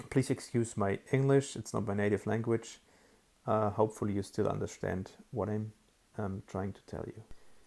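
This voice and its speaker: Speaking with a German accent, a man at medium pitch talks at a moderate pace in a dark, mellow tone with ordinary pitch variation. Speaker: app developer. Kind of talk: tutorial. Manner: hesitant, many fillers.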